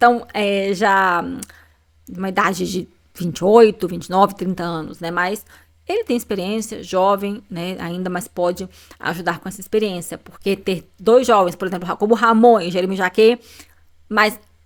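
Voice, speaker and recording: This woman's medium-pitched voice keeps a fairly even intonation while her loudness swings widely. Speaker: football YouTuber. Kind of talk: casual commentary video. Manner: fast.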